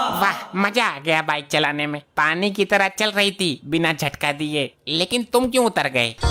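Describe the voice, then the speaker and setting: A female-sounding cartoonish character voice, fairly low in pitch for a woman, runs at a moderate pace with hardly any pauses over faint background music. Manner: teasing.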